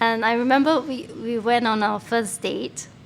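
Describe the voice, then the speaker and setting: A woman's fairly high voice comes through a noticeable layer of background noise. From Singapore. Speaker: former international student. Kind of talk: casual interview chat.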